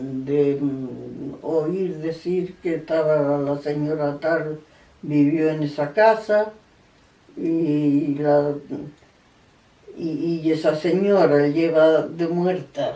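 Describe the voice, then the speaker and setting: A woman speaks at a very slow pace with a very deep, low pitch. Her intonation is fairly even, and background noise is noticeable. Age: 80s+. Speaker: elderly interviewee sharing memories. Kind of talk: oral history interview. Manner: halting, with repetitions.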